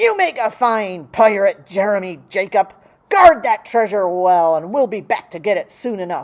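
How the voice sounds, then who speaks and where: Against a quiet background, a woman bellows in a put-on character voice at a medium pitch and a moderate pace. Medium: read story. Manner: bellowing, piratey slang.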